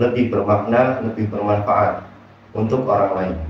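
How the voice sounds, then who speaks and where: Amid noticeable background noise and audible room echo, a man talks in a flat, monotone intonation. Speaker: motivational speaker. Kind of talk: motivational talk. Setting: bedroom at night. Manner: soft-spoken.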